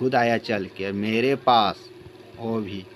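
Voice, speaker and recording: Over light background noise, a man speaks at a very slow pace with fairly even intonation. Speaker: home vlogger. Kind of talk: casual vlog chat. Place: home room. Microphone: phone near.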